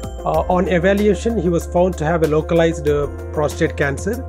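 A man talks at a fairly quick pace. Clear music can be heard in the background. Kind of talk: interview answer. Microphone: lapel.

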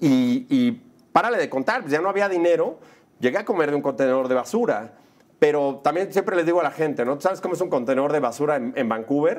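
A man talks at a fairly quick pace in an animated tone. His fairly high voice swings very widely in pitch. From Mexico City. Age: 40s. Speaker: film director and producer; interview guest. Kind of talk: casual interview. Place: studio. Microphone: lapel.

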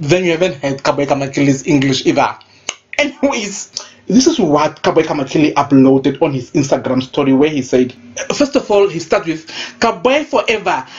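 A woman speaks at a fairly quick pace in a very deep, low voice, with an animated tone and lively intonation over noticeable background noise. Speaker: gossip vlogger. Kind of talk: celebrity gossip rant.

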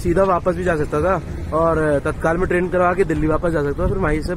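A high-pitched man's voice with fairly even intonation, dry with no echo, against noticeable background noise. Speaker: travel vlogger. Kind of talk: casual vlog chat. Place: street. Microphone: phone near.

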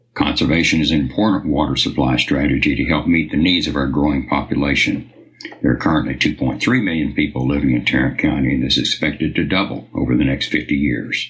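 Over noticeable background noise, a man with a very deep, low pitch talks at a fairly quick pace, his intonation fairly even and his loudness very even. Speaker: announcer. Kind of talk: scripted narration.

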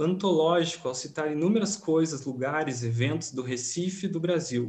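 The intonation here is lively. A man delivers the words at a moderate speed. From Rio Grande do Sul, Brazil. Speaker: film researcher; presenter. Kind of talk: academic conference presentation. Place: home room. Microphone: webcam.

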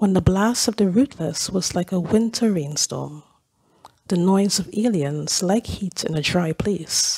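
A woman speaks in an ordinary speaking voice at medium pitch, with ordinary pitch variation and a fairly slow pace. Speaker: lay scripture reader. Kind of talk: reading aloud. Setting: church.

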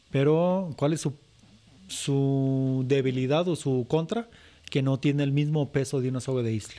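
Fairly high in pitch yet dark and mellow in tone, a man speaks at a fairly slow pace. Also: ordinary pitch variation. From Zacatecas, Mexico. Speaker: charro, rope-trick instructor. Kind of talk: casual chat.

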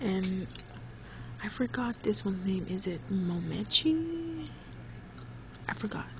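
Over noticeable background noise, the speech moves at a very slow pace. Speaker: toy reviewer. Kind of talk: ASMR toy review. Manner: casual, hesitant. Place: home room. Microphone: phone near.

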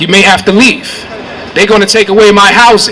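Over light background noise, a man speaks in a raised, projected voice. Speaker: community organizer. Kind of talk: rally speech. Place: street. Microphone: handheld.

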